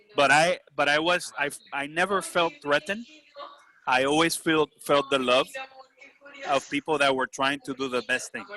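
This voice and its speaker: A man with a Puerto Rican accent and a fairly high pitch speaks at a moderate pace with fairly even intonation and long, frequent pauses, his sound dry and close with no echo over noticeable background noise. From Puerto Rico. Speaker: bank executive. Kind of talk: casual chat.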